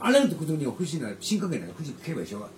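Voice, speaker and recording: The speech runs at a very fast pace amid noticeable background noise. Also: man. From Shanghai, Yangpu district. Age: 70s. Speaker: former footballer and youth football coach. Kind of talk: casual interview. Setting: room in an old lane house.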